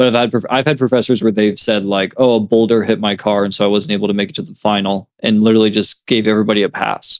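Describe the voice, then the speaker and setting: A man's fairly low voice at a very fast pace. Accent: American. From California. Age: 20s. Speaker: music producer and DJ, college student. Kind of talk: casual podcast chat. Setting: video call.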